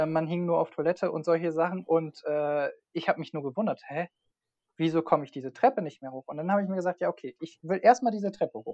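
A man speaks very fast at a high pitch with a dark, mellow tone. His loudness swings widely, and the sound is dry and close with no echo. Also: ordinary pitch variation. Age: 20s. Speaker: freelance online marketer. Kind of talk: casual interview.

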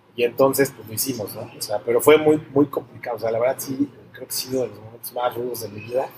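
A man at a very fast pace with hardly any pauses, medium pitch, fairly even intonation and big swings in loudness, over noticeable background noise. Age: 40s. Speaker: entrepreneur in construction and art. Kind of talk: interview.

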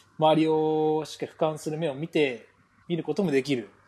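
A man's dark, mellow tone over a quiet background. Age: 20s. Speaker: podcast host, pro footballer. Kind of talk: casual chat.

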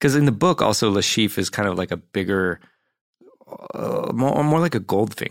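A man with a normal speaking voice, fairly low pitch, lively intonation and a moderate pace. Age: 40s. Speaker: actor and comedian, film buff guest. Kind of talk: casual chat. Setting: studio.

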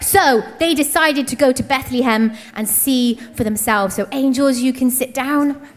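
Over noticeable background noise, a woman speaks in a playful, warm tone. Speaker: church storyteller. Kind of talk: children's nativity storytelling, narrating live to kids. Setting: church stage with audience of kids. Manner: warm, animated, encouraging; playful, paced for children, building up the walking journey.

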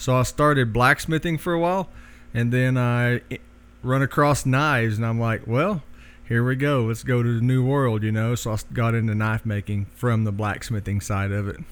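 This man has a Southern US accent and a medium pitch. He talks at a moderate pace with ordinary pitch variation. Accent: Southern US, noticeable. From Oklahoma. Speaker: knife maker. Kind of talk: casual interview, storytelling. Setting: in his workshop.

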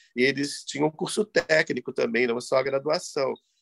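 A man talks at a moderate pace with lively intonation and vocal fry. The sound is dry and close, without echo. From Rio de Janeiro, Brazil. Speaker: composer. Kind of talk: interview. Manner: halting, with repetitions.

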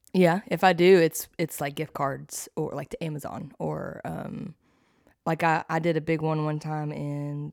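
Speaking at a fairly slow pace with big swings in loudness, a woman comes through with a dry, close sound and no echo. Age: young. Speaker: church podcast co-host. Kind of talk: casual chat.

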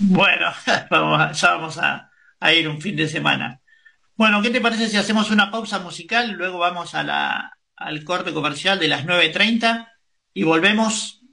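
With a bright, sharp tone and high pitch, a man talks at a fairly slow pace using ordinary pitch variation. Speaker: radio host. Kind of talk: news reading.

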